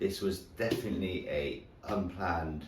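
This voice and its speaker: The man's voice sits very deep and low, with vocal fry. Audible room echo surrounds it. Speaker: fitness vlogger. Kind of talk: casual vlog.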